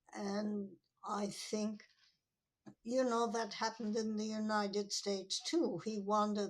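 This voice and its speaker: This voice belongs to a woman. It sits fairly high in pitch. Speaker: retired professor. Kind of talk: interview.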